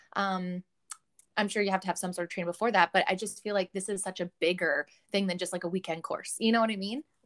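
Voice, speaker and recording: Speaking very fast with a Canadian accent, a woman at a medium pitch keeps a fairly even intonation, with a dry, close sound free of echo on a very clean recording with a silent background. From Canada. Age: 30s. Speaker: podcast host. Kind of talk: casual chat.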